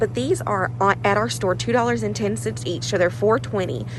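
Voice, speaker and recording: Amid noticeable background noise and audible room echo, a woman speaks fairly quickly in a very deep, low voice with very wide pitch swings. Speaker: couponing vlogger. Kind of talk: casual vlog. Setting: in a store. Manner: loud whisper.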